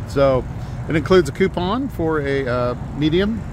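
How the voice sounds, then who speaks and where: Fairly slow speech with a dry sound, no echo, and noticeable background noise. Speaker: radio host. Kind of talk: radio DJ patter, live remote broadcast at a grand opening. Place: street. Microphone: phone near.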